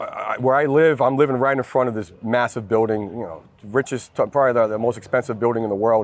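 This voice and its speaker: Against noticeable background noise, a medium-pitched man with a slight New Jersey accent speaks at a very fast pace and with ordinary pitch variation. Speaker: lead generation executive. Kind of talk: interview. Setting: industry event. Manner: energetic.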